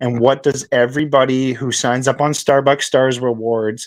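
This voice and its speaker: A man with a Canadian accent, an ordinary speaking voice, medium pitch and a fairly slow pace. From Canada. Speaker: crypto project founder. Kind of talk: podcast interview. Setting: live stream.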